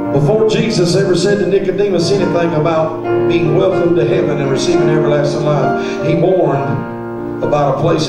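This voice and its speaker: A man talking at a fairly quick pace, with audible room echo and loud music in the background. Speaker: preacher. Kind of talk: sermon. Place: church.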